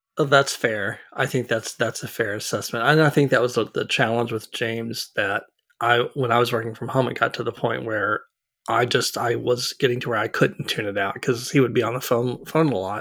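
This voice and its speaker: This man has an unremarkable speaking voice at a medium pitch. He talks at a fairly quick pace with fairly even intonation. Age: 50s. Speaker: architect, podcast co-host. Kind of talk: casual chat.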